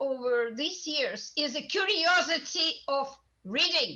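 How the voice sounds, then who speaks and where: A woman speaks in a raised, projected voice with a Russian accent. Her tone is bright and sharp, her pitch high. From Russia, Moscow. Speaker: voice teacher, audience member. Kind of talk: audience comment in panel Q&A.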